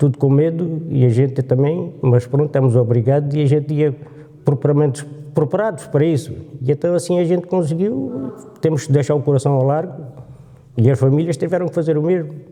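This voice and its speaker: A man speaks at a fairly quick pace with fairly high pitch and ordinary pitch variation. His loudness stays very even over noticeable background noise. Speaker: war veteran. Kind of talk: testimony.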